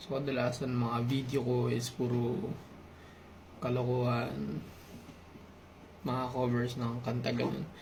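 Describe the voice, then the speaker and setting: A man with a medium pitch speaks at a very slow pace, with long, frequent pauses and very even loudness. Noticeable background noise and audible room echo surround him. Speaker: YouTuber sharing personal reflections. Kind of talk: personal confessional vlog. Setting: at home at night, late night. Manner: soft-spoken, quiet; halting, hesitant.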